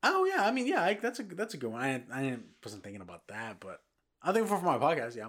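A man's fairly high voice with vocal fry, very fast pace and very wide pitch swings. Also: big swings in loudness. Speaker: podcast host. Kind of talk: casual chat. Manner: rambling, halting.

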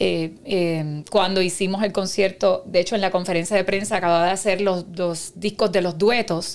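With a Puerto Rican accent, a woman speaks at medium pitch and a moderate pace, her intonation fairly even and hardly any pauses in between. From Puerto Rico, Carolina. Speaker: concert promoter. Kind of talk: casual chat.

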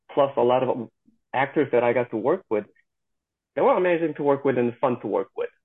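A man with a Korean accent at a fairly quick pace, with ordinary pitch variation. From South Korea. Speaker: stunt performer. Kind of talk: interview. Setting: video call.

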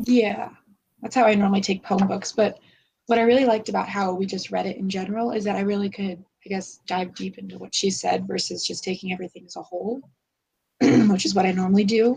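Speaking at a very fast pace, a woman has a medium pitch. Her tone is dark and mellow, somewhat breathy. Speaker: book discussion podcaster. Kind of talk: casual chat. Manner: halting.

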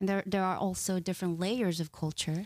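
Recorded dry and close with no echo, a woman talks with a Korean accent. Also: very clean recording, silent background. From South Korea. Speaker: doctoral student and cultural training director. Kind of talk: casual chat. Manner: halting.

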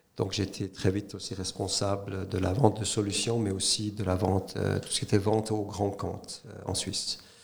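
This man's voice is fairly low in pitch, delivered at a moderate pace with a monotone, flat intonation. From Switzerland, Neuchâtel (French-speaking). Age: 50s. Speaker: entrepreneur, former corporate executive. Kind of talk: interview. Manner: hesitant with frequent fillers.

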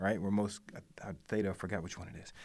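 An ordinary speaking voice talks at a fairly quick pace. The recording is very clean, with a silent background. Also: man. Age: 40s. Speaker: creative network co-founder. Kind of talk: casual chat. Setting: studio.

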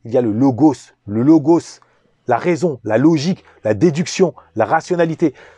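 The voice has a dark, mellow tone and very wide pitch swings, moving at a fairly slow pace in a dry, close sound with no echo. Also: man. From Paris suburbs, France. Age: 40s. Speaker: YouTube commentator. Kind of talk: monologue commentary.

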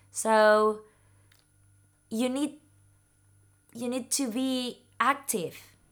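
A woman with a Spanish accent speaks at a high pitch and a very slow pace. She leaves long, frequent pauses. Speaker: neurologist. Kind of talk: interview answers in second language. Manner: halting, repeats words.

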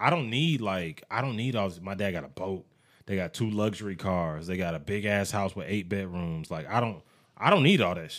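A man's fairly low voice at a fairly quick pace, with ordinary pitch variation, on a very clean recording with a silent background. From US military family. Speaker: podcast co-host. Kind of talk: casual chat.

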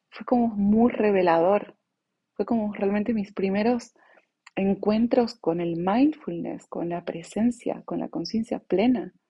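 Somewhat breathy, a woman with a medium-pitched voice speaks at a fairly slow pace, her loudness swinging widely while her pitch varies in an ordinary way. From Bolivia (born in La Paz, moved around the world). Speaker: podcast host, mindfulness coach. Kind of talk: reflective monologue.

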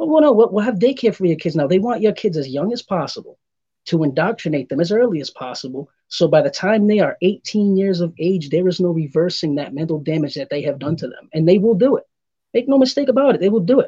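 Very wide pitch swings mark this very fast speech, delivered in a dark, mellow tone. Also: man, high pitch for a man. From Providence, Rhode Island. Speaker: political social media commentator. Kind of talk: casual chat.

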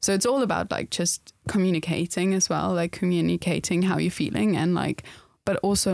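Speaking at a fairly quick pace, a woman's voice shows vocal fry. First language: not English. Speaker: podcast co-host. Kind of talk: casual chat, podcast conversation.

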